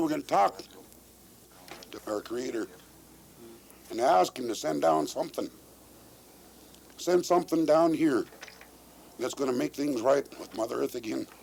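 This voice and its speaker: A man talks at a moderate pace with an American accent. He leaves long, frequent pauses. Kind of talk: speech at a traditional meeting circle. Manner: earnest, impassioned.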